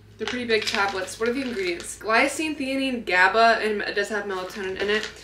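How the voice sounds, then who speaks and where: In an American accent, a woman talks at a very fast pace, fairly high for a woman, with ordinary pitch variation, noticeable background noise and audible room echo. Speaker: fitness vlogger and coach. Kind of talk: casual vlog talk to camera. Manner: animated.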